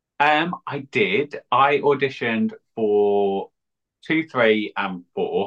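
Speaking at a very slow pace, a man uses lively intonation at a fairly high pitch. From Essex. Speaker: drag queen. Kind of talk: casual interview chat.

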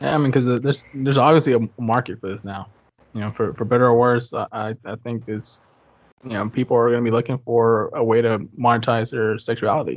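This is a normal speaking voice at a fairly quick pace with fairly even intonation. The background is quiet. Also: man, medium pitch for a man. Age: 20s. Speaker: podcast host. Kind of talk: casual chat.

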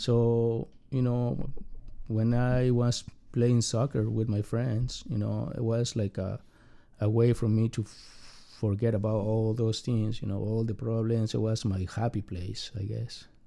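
With a Spanish accent, a man speaks at a fairly slow pace and a medium pitch. His tone is dark and mellow, and his intonation is monotone and flat. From Mexico City. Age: 40s. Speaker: immigrant. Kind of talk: personal interview. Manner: halting.

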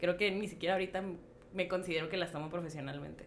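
A voice with fairly even intonation, set against noticeable background noise. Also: woman. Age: 20s. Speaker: photographer. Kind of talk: casual chat.

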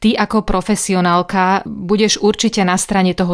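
A woman with an ordinary speaking voice and a medium pitch. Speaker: radio host. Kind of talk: radio interview.

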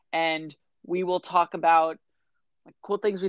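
A normal speaking voice from a woman, fairly low-pitched and fairly quick in pace. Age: 20s. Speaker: podcast co-host. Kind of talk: casual chat.

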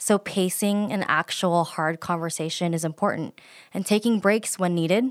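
With an American accent, a woman uses an ordinary speaking voice at a medium pitch, with fairly even intonation and a moderate pace, in a very clean recording with a silent background and a dry, close sound with no echo. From US, Filipino family. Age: 30s. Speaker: podcast co-host. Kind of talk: casual chat.

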